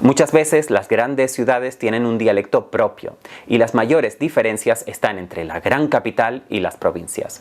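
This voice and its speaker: A man with a Canarian accent at a moderate pace, with noticeable background noise. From Canary Islands. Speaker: Spanish teacher. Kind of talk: educational talk. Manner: clear, measured.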